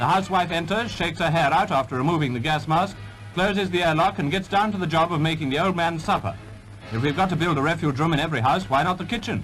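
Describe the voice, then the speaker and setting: A man speaks very fast in a high voice with lively intonation. Music plays in the background. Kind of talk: newsreel narration.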